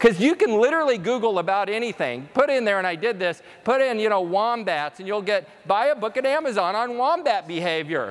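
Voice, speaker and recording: Talking at a fairly quick pace with hardly any pauses, a man uses a high pitch, an animated tone and lively intonation. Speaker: conference speaker. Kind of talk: keynote presentation. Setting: stage with audience. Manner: fast.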